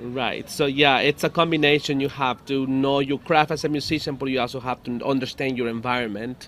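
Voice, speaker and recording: Barely pausing, a man talks at a moderate pace with fairly high pitch and fairly even intonation. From Mexico, Guanajuato. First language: Spanish (speaking Bulgarian). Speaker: salsa musician. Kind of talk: interpreted interview. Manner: halting.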